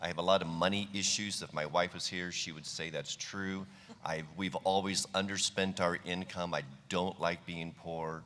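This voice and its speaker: A man with a very deep, low pitch and a bright, sharp tone speaks in a flat monotone at a moderate pace. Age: 60s. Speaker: winery owner. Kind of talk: panel discussion. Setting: stage with audience.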